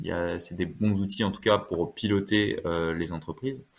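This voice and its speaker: Recorded very cleanly with a silent background, a man speaks at a fairly low pitch with ordinary variation. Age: 20s. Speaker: wealth management adviser. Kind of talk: podcast interview. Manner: hesitant, many fillers.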